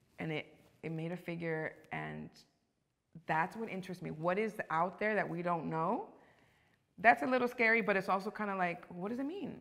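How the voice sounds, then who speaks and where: Woman with a Los Angeles accent, medium pitch, ordinary pitch variation, moderate pace, long, frequent pauses and a quiet background. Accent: Los Angeles American English. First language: Spanish. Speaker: actress. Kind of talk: casual interview. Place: studio.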